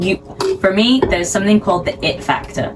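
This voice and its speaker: Talking at a moderate pace, a woman varies her pitch in an ordinary way as noticeable background noise continues. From Sheffield, England. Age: 20s. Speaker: figure skater. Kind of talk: interview answer.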